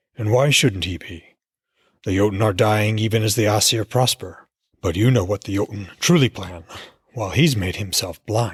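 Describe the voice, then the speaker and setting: A rumbling, put-on character voice moves at a moderate pace with ordinary pitch variation. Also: man, fairly low pitch for a man. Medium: read story. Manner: sly, goading.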